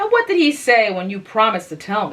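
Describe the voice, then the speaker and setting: Using a put-on character voice, a woman speaks fairly quickly at a fairly high pitch, with very wide pitch swings and big swings in loudness. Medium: read story. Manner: detached, ironic.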